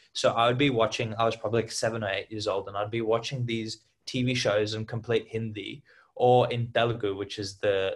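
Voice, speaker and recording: A man's somewhat breathy voice at a medium pitch, fairly quick and monotone with flat intonation, over a quiet background. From Australia and Hyderabad, India. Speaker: podcast co-host. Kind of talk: casual chat.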